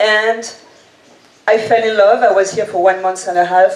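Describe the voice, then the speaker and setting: Over noticeable background noise, a woman with a French accent talks at a moderate pace. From French-speaking, Reunion island. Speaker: event guide creator, entrepreneur. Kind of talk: presentation talk. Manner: energetic.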